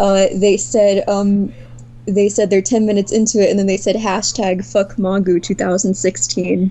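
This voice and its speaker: At a fairly slow pace and medium pitch, a woman talks in an unremarkable speaking voice. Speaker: artist, visual novel co-creator. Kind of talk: casual interview.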